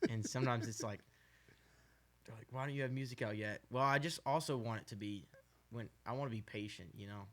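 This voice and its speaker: Speaking at a very fast pace, a man with an American accent shows big swings in loudness. He also leaves long, frequent pauses. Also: medium pitch for a man, ordinary pitch variation. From Arizona. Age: 18. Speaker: country singer. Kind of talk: podcast interview.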